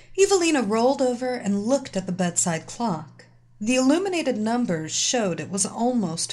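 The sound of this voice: Lively intonation runs through the speech. It is an unforced reading voice.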